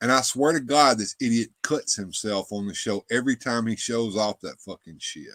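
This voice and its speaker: With a Southern US accent, a man speaks at medium pitch and a moderate pace with ordinary pitch variation, the recording very clean with a silent background and a dry, close sound with no echo. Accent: Southern twang. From US South. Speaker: livestream show host. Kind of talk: casual chat. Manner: halting, repetitive.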